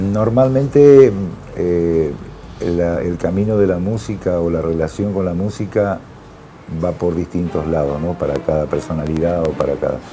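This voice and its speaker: Over noticeable background noise, a man with a very deep, low pitch speaks fairly slowly with lively intonation. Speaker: musician. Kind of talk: TV interview.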